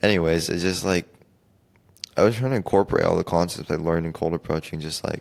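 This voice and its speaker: Soft-spoken and very deep in pitch, a man talks at a very fast pace with ordinary pitch variation. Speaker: podcast host. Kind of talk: solo podcast monologue. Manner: halting.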